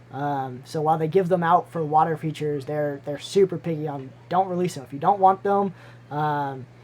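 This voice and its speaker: The speech is mumbled. It moves at a moderate pace. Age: 20s. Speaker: aquarium hobbyist streamer. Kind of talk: live stream Q&A. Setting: live stream with webcam. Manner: mumbling; halting.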